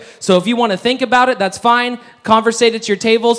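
Loud and animated, a man speaks in a high pitch. His pace is fairly quick. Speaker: auctioneer. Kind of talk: auction patter. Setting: stage with audience. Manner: fast talker; loud, animated. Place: hall.

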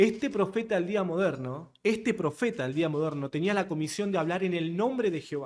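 Against a quiet background, the speech moves at a moderate pace with lively intonation. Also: man. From Argentina. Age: 30s. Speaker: podcast guest. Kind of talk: casual interview conversation. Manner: direct. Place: studio. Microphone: studio mic.

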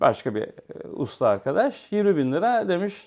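A man keeps a moderate pace over a quiet background. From Istanbul, Turkey. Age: 50s. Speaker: hi-fi repairer and enthusiast. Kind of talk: casual interview chat.

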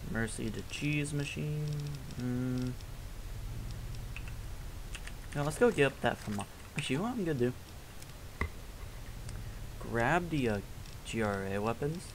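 A fairly slow pace with long, frequent pauses amid noticeable background noise. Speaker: gamer. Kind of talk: casual gameplay commentary.

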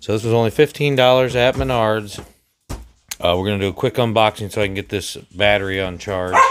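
There is noticeable background noise as a man talks at a moderate pace. His voice sits fairly low and has ordinary pitch variation. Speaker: RC hobbyist reviewer. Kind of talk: casual unboxing narration. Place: kitchen. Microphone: phone near.

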